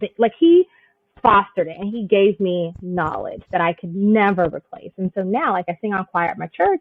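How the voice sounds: At a moderate pace, a woman talks at medium pitch with big pitch swings, in a dry, close sound with no echo.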